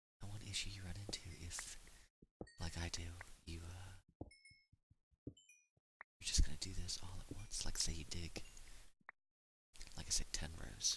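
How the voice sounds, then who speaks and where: Soft-spoken and flat in intonation, a man with a very deep, low voice and a bright, sharp tone speaks with long, frequent pauses. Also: moderate pace. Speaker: gaming ASMR creator. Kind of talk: softly spoken ASMR gameplay commentary.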